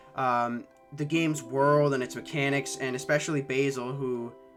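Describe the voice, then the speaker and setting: With music playing behind him, a man talks in a medium pitch. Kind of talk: personal reflective talk to camera. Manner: hesitant, stuttering, pausing.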